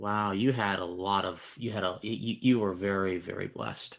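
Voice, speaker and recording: In an ordinary speaking voice, a man talks at a moderate pace with hardly any pauses. His pitch is fairly low and his intonation fairly even. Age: young. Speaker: interviewer. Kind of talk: interview.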